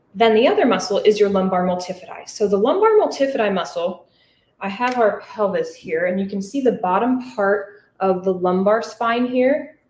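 At a moderate pace, a woman with a medium pitch and ordinary pitch variation speaks over light background noise, with audible room echo. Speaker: physical therapist. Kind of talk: lecture. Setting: live audience in person and online. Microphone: webcam.

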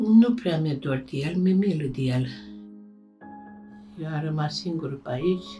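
Over music in the background, a woman with a very deep, low voice speaks fairly slowly, using lively intonation and taking long, frequent pauses. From Romania. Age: old. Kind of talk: documentary interview answer.

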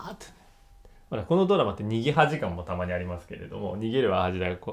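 A man's animated, very fast delivery with very wide pitch swings and big swings in loudness. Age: 30s. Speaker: YouTuber reviewing TV dramas. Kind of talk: casual commentary monologue. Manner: animated, frequent laughter.

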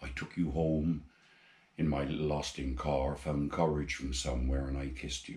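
This man speaks in a Gloucestershire accent at a very deep, low pitch and a moderate pace. His intonation is monotone and flat, and his voice is somewhat breathy. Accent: Forest of Dean. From England, Forest of Dean, Gloucestershire; England. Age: 80s+. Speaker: amateur poet. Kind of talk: poetry reading; personal introduction. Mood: tender, wistful. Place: home room.

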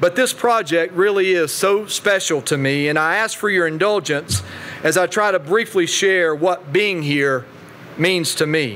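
Over noticeable background noise, a man with an Appalachian accent talks at a fairly slow pace in a high pitch, with ordinary pitch variation and very even loudness. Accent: Southern US, Appalachian. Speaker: state politician. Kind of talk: keynote speech. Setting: podium before live audience.

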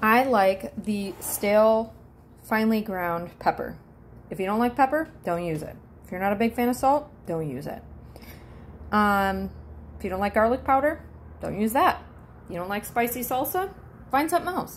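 A woman speaks at a moderate pace with lively intonation and long, frequent pauses over light background noise. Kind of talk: casual vlog chat. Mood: chatty, playful. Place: kitchen. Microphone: phone near.

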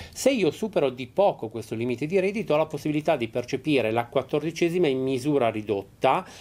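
Speaking at a fairly quick pace, a man uses lively intonation. His pitch sits fairly high. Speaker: pension advisor at a union office. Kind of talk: call-in TV advice show. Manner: hesitant, frequent fillers. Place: studio.

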